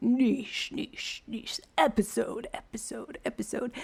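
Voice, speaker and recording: A female-sounding, put-on character voice is heard. It has a fairly high pitch and a fairly slow pace. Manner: loud, bombastic, repetitive hype.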